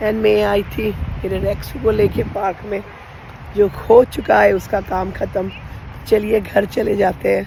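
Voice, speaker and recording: A very slow pace over noticeable background noise. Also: woman. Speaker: lifestyle vlogger. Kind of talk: casual vlog chat. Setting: outdoors then at home. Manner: chatty, code-switching Hindi-English.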